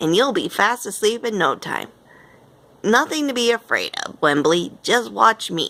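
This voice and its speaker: A rumbling, put-on character voice moves at a moderate pace with very wide pitch swings. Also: woman, medium pitch for a woman. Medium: read story. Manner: grumbling, fussy.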